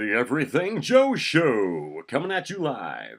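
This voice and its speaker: A man uses a put-on character voice at medium pitch, speaking at a fairly slow pace. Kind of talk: broadcast announcer, promotional. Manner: booming, energetic.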